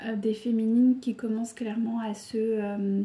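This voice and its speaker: A woman's fairly high, calm voice at a fairly slow pace, monotone with flat intonation. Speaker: tarot card reader. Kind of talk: tarot reading video monologue. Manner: hesitant, many fillers.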